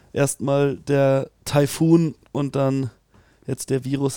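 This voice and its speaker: A man's voice with a dark, mellow tone. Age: young. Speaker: rugby podcast co-host. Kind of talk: casual chat.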